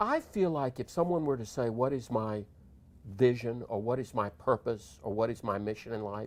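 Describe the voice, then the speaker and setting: Moderate-paced speech from a man, captured on a very clean recording with a silent background. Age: 60s. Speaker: counselor and life coach. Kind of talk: TV interview. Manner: animated.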